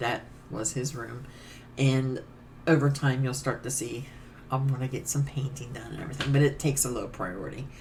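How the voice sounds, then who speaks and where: A woman speaks with a very deep, low pitch. Her voice is somewhat breathy, with a dark, mellow tone. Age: middle-aged. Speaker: cross stitch vlogger. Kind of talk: casual chat. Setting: home stitching room.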